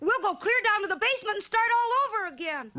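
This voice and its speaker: An extremely high-pitched, cartoonish character voice. It races along at a very fast pace. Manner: earnest, eager.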